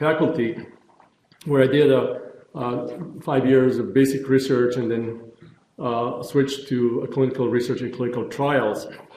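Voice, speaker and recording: A medium-pitched man at a moderate pace, with audible room echo. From former Yugoslavia, Zagreb. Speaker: neurologist, pain researcher. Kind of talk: lecture. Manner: halting, many fillers.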